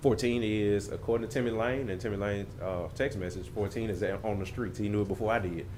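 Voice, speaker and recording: A man talks very fast with hardly any pauses, his fairly low pitch held in fairly even intonation. Audible room echo fills the recording. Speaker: fire chief. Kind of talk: committee meeting report. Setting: council meeting.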